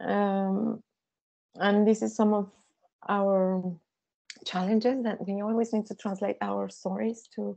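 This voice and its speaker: Speaking with a Spanish accent at a fairly slow pace, a woman with a medium pitch keeps a monotone, flat intonation and leaves long, frequent pauses. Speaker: visual artist and author. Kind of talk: seminar conversation. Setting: seminar with audience. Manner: halting.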